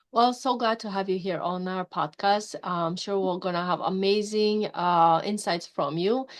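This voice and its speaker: A woman of medium pitch with a non-native accent, ordinary pitch variation and moderate pace, over a quiet background. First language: not English. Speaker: podcast host. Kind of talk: interview. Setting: podcast.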